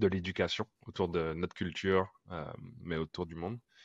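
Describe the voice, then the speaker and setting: In a very deep, low pitch, a man speaks at a fairly slow pace with monotone, flat intonation. The sound is dry and close with no echo, over a quiet background. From Guadeloupe. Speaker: futurist artist and public speaker. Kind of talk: casual chat.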